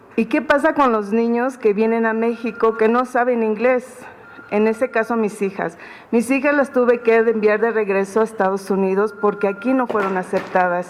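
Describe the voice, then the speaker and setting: Over noticeable background noise, a woman speaks at a fairly high pitch and a moderate pace. Her intonation stays fairly even and her loudness very even. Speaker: repatriated migrant. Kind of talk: press conference statement. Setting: press conference room. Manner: halting.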